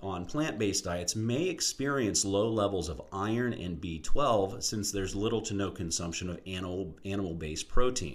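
A man with a plain, everyday voice talks at a moderate pace with hardly any pauses, his fairly low pitch moving in lively intonation. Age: 40s. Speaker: podcast host, health and fitness educator. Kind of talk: solo educational podcast monologue.

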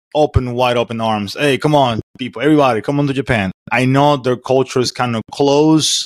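On a very clean recording with a silent background and a dry, close sound with no echo, a man with a Spanish accent speaks at a moderate pace and medium pitch with ordinary pitch variation. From Venezuela. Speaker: podcast host. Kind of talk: casual interview. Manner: informal, laughs often.

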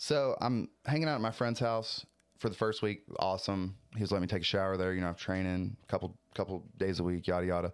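A man with a very deep, low pitch talks at a very fast pace with ordinary pitch variation. The recording is very clean and the background silent. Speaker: pro fighter and content creator. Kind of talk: casual chat.

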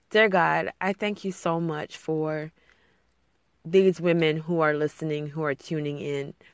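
Very deep and low in pitch, a woman speaks at a fairly slow pace with a warm tone and fairly even intonation. The sound is dry and close with no echo, and the background is quiet. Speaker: podcast host and blogger. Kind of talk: fervent prayer, spoken earnestly to God and to listeners; solo podcast monologue, casual and encouraging. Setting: home closet recording alone. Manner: warm, sincere, heartfelt, with a soft earnest tone; casual, chatty, with frequent fillers and laughs.

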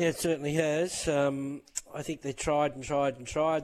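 With an Australian accent, a man with a fairly high voice speaks at a moderate pace and fairly even intonation, against noticeable background noise. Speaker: racing analyst. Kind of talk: casual chat about racing.

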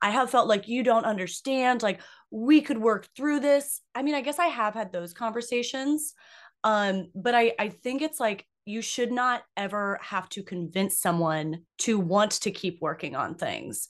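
Shouting loudly, a woman speaks at a fairly slow pace with a fairly high pitch. Her intonation is lively, and the background is quiet. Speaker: podcast co-host. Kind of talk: casual banter. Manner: loud, animated, screaming; excitable.

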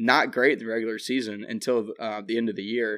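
A man with a plain, everyday voice in an American accent, medium in pitch, at a fairly quick pace. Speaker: podcast host. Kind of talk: casual sports chat.

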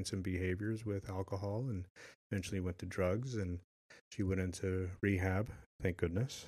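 Against a quiet background, a man with an unremarkable speaking voice talks at a moderate pace with fairly even intonation. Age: 50s. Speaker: retired police officer and father. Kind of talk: casual chat.

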